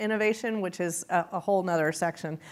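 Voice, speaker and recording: A woman in a Texan accent, with ordinary pitch variation. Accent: Texan accent, still noticeable. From small-town Texas. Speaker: entrepreneurship executive, lecture guest. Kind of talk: interview on stage. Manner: animated.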